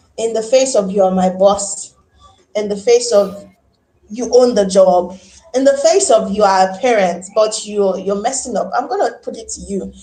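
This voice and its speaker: A woman with a Nigerian accent speaks in a medium pitch and an animated tone. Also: ordinary pitch variation, moderate pace, big swings in loudness. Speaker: teacher. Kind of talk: interview. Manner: loud.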